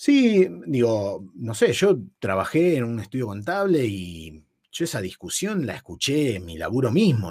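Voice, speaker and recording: A man's voice with very wide pitch swings. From Buenos Aires northern suburbs, Argentina. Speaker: podcast co-host. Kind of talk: casual chat.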